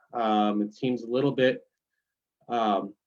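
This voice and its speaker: A man with a New York accent speaks at a medium pitch. His pace is fairly slow and his intonation fairly even. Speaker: forest service staff. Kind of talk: presentation.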